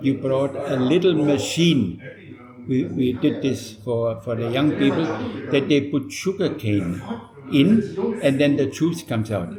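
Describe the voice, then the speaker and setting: A man with a German accent speaks at a fairly slow pace in a fairly high pitch, his pitch swinging very widely. The room echoes audibly and background noise is noticeable. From Germany. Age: 80s+. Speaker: retired missionary pastor. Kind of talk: interview. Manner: halting.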